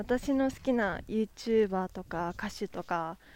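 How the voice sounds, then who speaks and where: A woman speaks at a very slow pace in a fairly high pitch with ordinary pitch variation. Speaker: podcaster. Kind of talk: casual solo monologue. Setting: outdoors on a walk.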